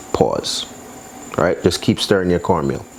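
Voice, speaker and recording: Noticeable background noise accompanies a man talking in an American accent. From New York, Brooklyn. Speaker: cooking channel host. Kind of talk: cooking tutorial, casual chat. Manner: casual, chatty.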